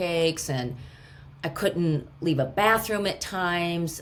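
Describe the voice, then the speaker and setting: With a normal speaking voice, a woman talks fairly slowly at a fairly low pitch with ordinary pitch variation. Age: 50s. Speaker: gut health expert. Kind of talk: podcast interview answer.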